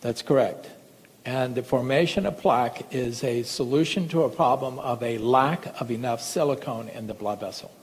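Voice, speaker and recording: The speech moves at a moderate pace with ordinary pitch variation. Noticeable background noise is present. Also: man, medium pitch for a man. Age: 60s. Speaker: medical doctor. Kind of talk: lecture. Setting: stage with audience.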